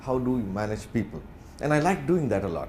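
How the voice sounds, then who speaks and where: A speaker with an Indian accent talks at a fairly quick pace with very wide pitch swings. Audible room echo surrounds the voice. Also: man. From India, Bangalore. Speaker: corporate executive, guest speaker. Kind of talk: lecture. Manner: fast.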